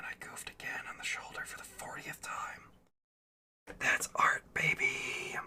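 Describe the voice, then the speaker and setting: Someone is whispering. The pace is fairly slow. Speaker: hobbyist miniature painter streamer. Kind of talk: casual livestream chat while painting. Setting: live stream.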